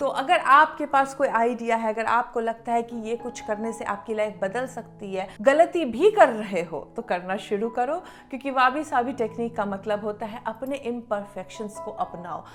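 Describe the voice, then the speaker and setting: A woman with a Bihari accent, fairly high in pitch, lively intonation, hardly any pauses, big swings in loudness, and noticeable background noise. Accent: Bihari tone in her Hindi. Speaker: law of attraction teacher and YouTuber. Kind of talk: motivational talk to camera.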